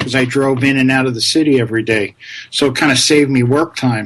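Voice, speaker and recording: Here a man has a normal speaking voice, medium in pitch, with fairly even intonation. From New York. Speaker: conservative blogger and co-host. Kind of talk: casual chat.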